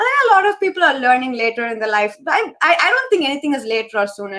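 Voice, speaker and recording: Raising and projecting her voice, a woman speaks with a high pitch and a bright, sharp tone. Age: 30s. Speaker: dance teacher. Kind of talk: live online talk show Q&A. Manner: stammer.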